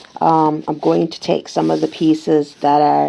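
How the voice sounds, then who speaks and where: Against noticeable background noise, a woman with a very deep, low pitch speaks at a moderate pace, her pitch swinging very widely. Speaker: crafter. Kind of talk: craft tutorial narration.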